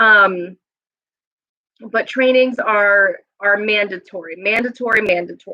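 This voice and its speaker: A woman speaks loudly at a fairly slow pace, her tone bright and sharp. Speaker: staff trainer at an adult services agency. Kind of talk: live stream staff announcements. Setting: office room, live stream. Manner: casual, chatty.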